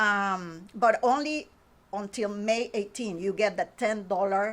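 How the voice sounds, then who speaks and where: A woman with a Spanish accent at a very slow pace, medium pitch and ordinary pitch variation, on a very clean recording with a silent background. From Honduras. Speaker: painting instructor. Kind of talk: interview. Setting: studio.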